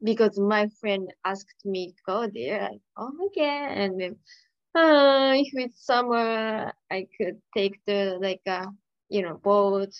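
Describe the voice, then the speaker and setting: Speaking very slowly in a Japanese accent, a woman holds a medium pitch with ordinary pitch variation. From Saitama, Japan. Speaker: pharmacy clerk and YouTuber. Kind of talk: casual interview chat.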